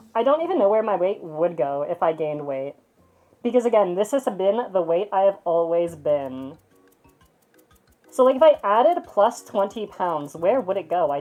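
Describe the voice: Music sounds behind the voice. The delivery keeps a moderate pace.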